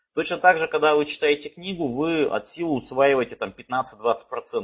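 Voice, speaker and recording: Moderately paced, a man speaks at a fairly high pitch with ordinary pitch variation. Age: 30s. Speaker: personal finance trainer. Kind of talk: webinar lecture. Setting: online webinar. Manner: halting, many fillers.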